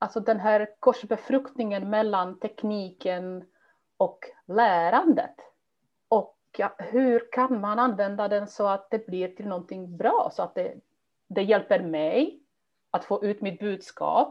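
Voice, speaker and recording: A woman talks at a very slow pace. Her voice is medium in pitch with ordinary pitch variation. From immigrant to Sweden. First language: not Swedish (speaking Swedish). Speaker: language teacher and teacher trainer. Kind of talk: interview.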